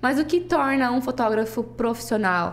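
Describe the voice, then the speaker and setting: Her pace is fairly quick. The woman's intonation is lively. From southern Brazil, Toledo (Paraná). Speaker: photographer. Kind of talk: casual interview.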